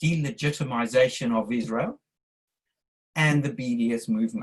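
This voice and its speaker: A man with a South African accent speaks at a fairly slow pace, his voice somewhat breathy and fairly high in pitch. His intonation is lively. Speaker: audience member in interfaith discussion. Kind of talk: q&a statement at online talk. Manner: halting, with restarts.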